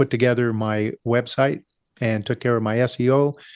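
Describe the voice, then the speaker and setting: A man speaks in an ordinary speaking voice at a medium pitch with fairly even intonation. The sound is dry and close with no echo, and the background is quiet. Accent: American. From US West, California. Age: 60s. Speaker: small business owner. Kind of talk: interview. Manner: casual, frequent fillers.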